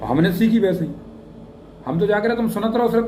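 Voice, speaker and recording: A man's high-pitched voice in a Bundeli accent, with ordinary pitch variation, audible room echo and noticeable background noise. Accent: Bundeli-accented Hindi. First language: Bundeli (speaking Hindi). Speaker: English teacher, YouTuber. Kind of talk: motivational talk to camera. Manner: casual, conversational dialect.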